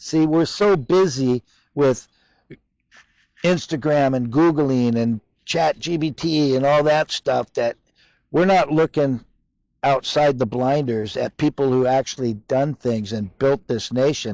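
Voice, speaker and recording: Using ordinary pitch variation, a man with a fairly high pitch speaks at a fairly slow pace. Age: 60s. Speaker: fish market owner. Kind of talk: casual interview. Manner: animated.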